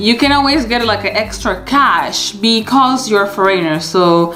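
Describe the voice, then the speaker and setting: Music plays in the background and room echo is audible as a woman with a fairly high voice speaks with very wide pitch swings. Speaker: vlogger. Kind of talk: casual vlog talk.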